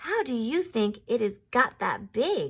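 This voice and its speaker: A woman puts on a character voice. It sits high in pitch. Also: fairly slow pace. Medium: read story.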